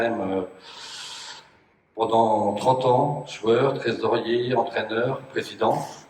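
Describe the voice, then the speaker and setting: Speaking at a very slow pace with long, frequent pauses, a man is heard in audible room echo over noticeable background noise. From Brittany, Morbihan. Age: 40s. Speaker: municipal election candidate. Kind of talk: self-introduction at public meeting.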